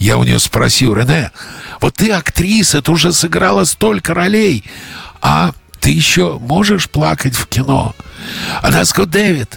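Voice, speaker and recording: A man talks at a moderate pace with long, frequent pauses, very wide pitch swings and very even loudness. The sound is dry and close with no echo, though noticeable background noise comes through. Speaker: film director. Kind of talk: interview.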